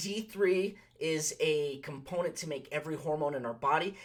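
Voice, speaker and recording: A man with an American accent speaks in an animated tone. His pitch is high. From US West, Las Vegas, Nevada. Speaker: pharmacist. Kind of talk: health talk with product recommendations. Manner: fast; animated, many fillers and restarts.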